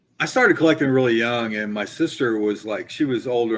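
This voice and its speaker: A man at a very fast pace and medium pitch. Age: 60s. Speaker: comic collector. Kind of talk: casual chat. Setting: live stream video call.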